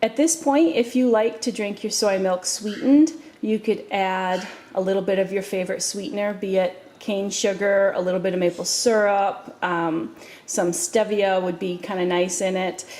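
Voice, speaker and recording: A woman with a dark, mellow tone at a medium pitch, lively intonation, and a moderate pace. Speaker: home cooking video host. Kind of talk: tutorial. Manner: casual, with many fillers.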